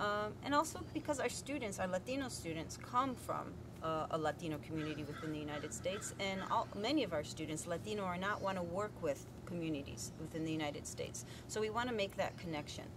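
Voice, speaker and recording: A woman with an American accent talks very fast in a fairly low voice with very wide pitch swings, amid noticeable background noise and audible room echo. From US, heritage Spanish household. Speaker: Spanish teacher. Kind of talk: interview testimony.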